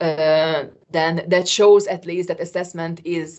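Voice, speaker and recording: Her voice is fairly low in pitch, and the woman speaks with monotone, flat intonation. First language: not English. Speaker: qualification assessor. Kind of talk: work meeting discussion. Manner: hesitant.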